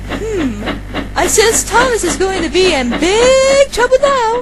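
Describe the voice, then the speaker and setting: A put-on character voice, female-sounding and extremely high, at a fairly slow pace against loud background noise. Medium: dub. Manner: exasperated.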